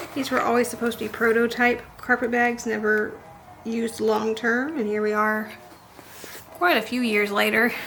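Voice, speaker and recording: With music in the background, a woman speaks at a moderate pace and fairly high pitch with fairly even intonation. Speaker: historical sewing vlogger. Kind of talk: casual tutorial vlog.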